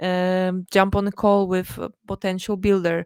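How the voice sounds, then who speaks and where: A woman with a non-native accent speaks at a medium pitch in a very clean recording with a silent background and a dry, close sound with no echo. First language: not English. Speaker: blockchain developer relations lead. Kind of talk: interview. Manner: halting, many fillers.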